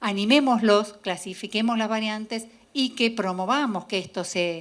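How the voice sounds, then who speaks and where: A woman's fairly high pitch with lively intonation at a fairly slow pace. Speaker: geneticist and biochemist. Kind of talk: lecture. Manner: halting, with self-corrections.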